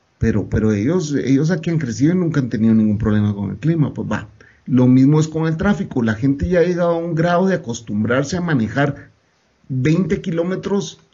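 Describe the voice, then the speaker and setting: Speaking at a fairly quick pace, a man with a fairly high pitch sounds somewhat breathy and uses lively intonation. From Guatemala. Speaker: podcast guest. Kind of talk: casual chat.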